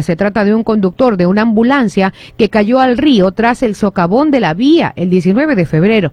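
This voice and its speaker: An unremarkable speaking voice carries lively intonation while keeping a moderate pace. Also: woman, dry, close sound with no echo. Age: 30s. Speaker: radio host. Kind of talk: news reading; casual chat.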